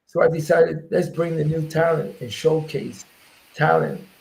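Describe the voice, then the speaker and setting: In a New York accent, a man talks with a fairly high pitch, a dark, mellow tone and vocal fry. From New York, South Bronx. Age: 60s. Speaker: MMA promoter and former fighter. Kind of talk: interview.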